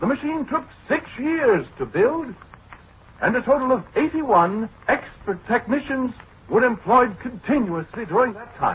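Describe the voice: Putting on a character voice, a man speaks at an extremely high pitch and a fairly slow pace with a husky, rough edge, a fairly bright tone and lively intonation.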